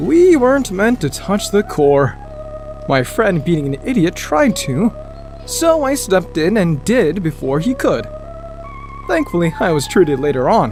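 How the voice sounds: Over clear music in the background, a man puts on a character voice, high-pitched with big pitch swings, at a fairly slow pace.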